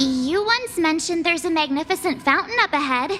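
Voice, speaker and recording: Over clear background noise, a put-on character voice with extremely high pitch runs at a fairly quick pace. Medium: video game. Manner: bright, expressive.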